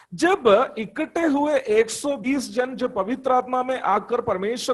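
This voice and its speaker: This man speaks with a Malayalam accent. His pitch is extremely high. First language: Malayalam (speaking Hindi). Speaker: preacher. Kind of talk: sermon. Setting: church congregation.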